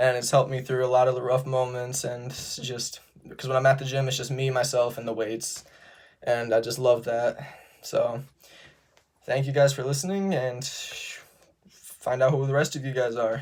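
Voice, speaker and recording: A man talks at medium pitch and a moderate pace, in a somewhat breathy voice. His intonation is monotone and flat, broken by long, frequent pauses. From Sturgis, Michigan, US Midwest. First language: Romanian. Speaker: college student. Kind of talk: self-introduction video. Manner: casual, with filler words and occasional stutters.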